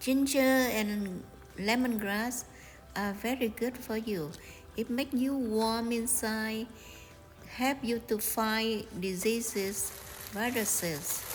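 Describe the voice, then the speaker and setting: A woman with a Vietnamese accent speaks at a very slow pace in a fairly high pitch, her intonation fairly even. Long, frequent pauses break her speech while music plays in the background. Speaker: home cooking channel host. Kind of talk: cooking tutorial. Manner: hesitant, many fillers.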